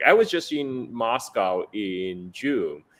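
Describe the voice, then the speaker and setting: This is a man speaking. He talks with a Chinese accent. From China. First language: Chinese dialect. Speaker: geopolitical analyst. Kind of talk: interview.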